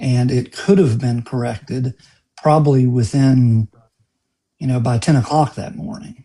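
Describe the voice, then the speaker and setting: With a dark, mellow tone and a somewhat breathy quality, a man of medium pitch speaks at a fairly slow pace with lively intonation. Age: 60s. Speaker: lawyer. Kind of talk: live stream interview.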